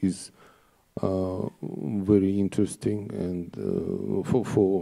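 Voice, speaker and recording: A man speaks with a Russian accent at a very slow pace, his pitch very deep and low and his tone dark and mellow. His intonation is monotone and flat on a very clean recording with a silent background. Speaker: conference organizer. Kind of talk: formal opening speech. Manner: halting, many filler sounds.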